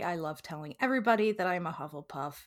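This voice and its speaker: A woman speaks at a fairly quick pace in a plain, everyday voice, her pitch fairly low, on a very clean recording with a silent background. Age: 20s. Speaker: marketing coordinator. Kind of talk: casual interview.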